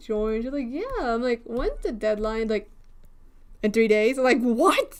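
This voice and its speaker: The voice is loud and animated in tone. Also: woman. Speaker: livestreaming digital artist. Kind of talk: casual livestream chat. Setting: home, door closed to keep volume down.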